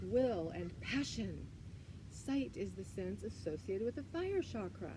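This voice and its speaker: Clearly present background noise and audible room echo accompany a woman's speech. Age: 60s. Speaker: yoga and wellness teacher. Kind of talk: guided yoga livestream.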